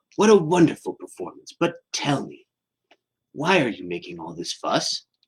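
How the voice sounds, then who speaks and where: A man's put-on character voice at a moderate pace. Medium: read story. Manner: warm, welcoming.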